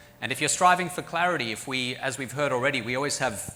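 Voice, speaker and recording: A man with an American accent speaks in a bright, sharp tone with ordinary pitch variation. There is audible room echo. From Australia and South Africa. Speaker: professor. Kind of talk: conference talk.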